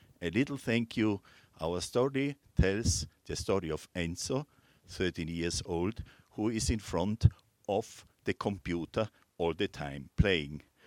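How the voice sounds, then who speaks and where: In a very clean recording with a silent background, a man with a Serbian accent talks at a very slow pace, his very deep, low pitch carried by lively intonation. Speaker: jury member and peace activist. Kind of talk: award ceremony speech. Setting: stage with audience.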